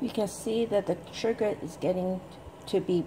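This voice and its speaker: Loud background noise fills the recording. Through it, a woman talks at a fairly slow pace. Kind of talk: tutorial. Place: kitchen. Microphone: camera far.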